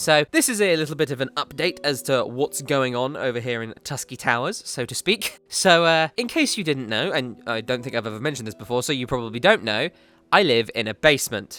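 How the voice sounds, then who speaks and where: In a very clean recording with a silent background, a man with an English accent speaks at a medium pitch and fairly quick pace, his bright, sharp tone carrying lively intonation with hardly any pauses. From England. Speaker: video game YouTuber. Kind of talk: casual vlog update. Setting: home basement.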